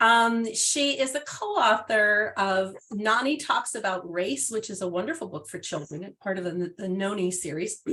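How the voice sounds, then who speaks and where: Bright, sharp tone with lively intonation, a moderate pace and hardly any pauses. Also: woman, medium pitch for a woman. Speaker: sex education program manager. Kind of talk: webinar introduction. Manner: halting, many fillers.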